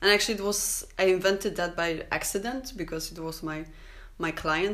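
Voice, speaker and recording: Audible room echo surrounds a woman with a Polish accent. Her intonation stays fairly even. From Poland. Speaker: tattoo artist. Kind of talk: casual chat.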